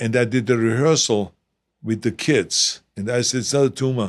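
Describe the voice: With a non-native accent, the speaker uses fairly even intonation on a very clean recording with a silent background. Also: man. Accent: foreign-accented English.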